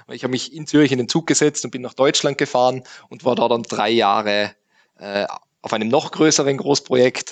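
Against a quiet background, a man talks at a fairly quick pace with a medium pitch, ordinary pitch variation and big swings in loudness. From Austria, Tyrol. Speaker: IT forensics consultant. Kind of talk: interview. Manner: halting, many filler sounds.

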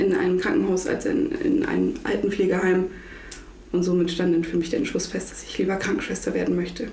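Noticeable background noise and audible room echo surround a woman who talks fairly quickly. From northern Germany, Lower Saxony coast (Butjadingen). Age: 20s. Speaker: intensive care nurse. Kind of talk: casual interview.

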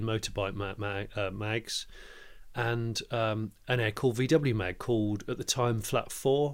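On a very clean recording with a silent background, a man with an English accent speaks at a very slow pace with ordinary pitch variation. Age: 40s. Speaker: motoring journalist and presenter. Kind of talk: podcast interview. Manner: halting, many repeated words.

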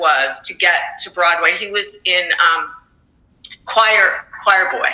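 A woman talks at a fairly slow pace with an American accent. Hers is an unremarkable speaking voice. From New York. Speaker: high school teacher. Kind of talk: interview.

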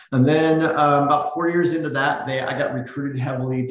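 A man with an American accent talks at a moderate pace, with noticeable background noise behind him. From US West Coast (Silicon Valley). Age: 50s. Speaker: real estate executive. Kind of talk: interview.

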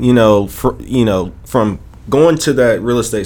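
A man with an American accent at a moderate pace. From Chicago, US Midwest. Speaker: real estate investor. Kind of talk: interview. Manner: hesitant, many fillers.

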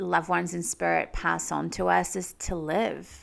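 With a New Zealand accent, a woman speaks at a very slow pace in a very clean recording with a silent background. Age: 30s. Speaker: spiritual medium and podcast host. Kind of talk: solo podcast monologue. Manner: laughs often.

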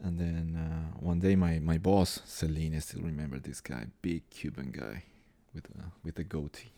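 This voice has a dark, mellow tone and a Spanish accent, moving at a moderate pace with ordinary pitch variation and big swings in loudness. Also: man, very deep, low pitch for a man. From Colombia. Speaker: tango organizer and dancer. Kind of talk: casual interview chat.

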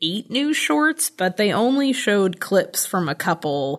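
At a fairly slow pace, a woman speaks at a medium pitch with very wide pitch swings. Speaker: podcast host. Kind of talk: casual chat.

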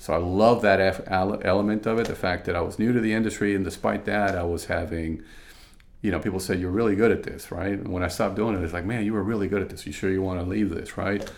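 This man talks very fast with a Spanish accent. His pitch sits fairly low. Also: fairly even intonation. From Venezuela. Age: 50s. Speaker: consultant and woodworker. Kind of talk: casual interview. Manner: frequent fillers and repetitions.

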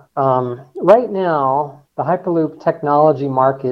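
A man with an American accent and an unremarkable speaking voice talks at a fairly slow pace, fairly high in pitch, with ordinary pitch variation. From Colorado, US. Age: 60s. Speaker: engineer and transportation research advocate. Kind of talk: interview.

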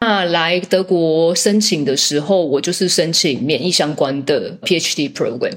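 Using a plain, everyday voice, a woman speaks at a fairly slow pace with a fairly low pitch, ordinary pitch variation and very even loudness. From Taiwan. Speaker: biotech commercial director. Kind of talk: interview.

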